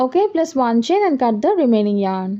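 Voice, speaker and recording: The woman's voice is high in pitch. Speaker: crochet tutorial maker. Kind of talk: tutorial.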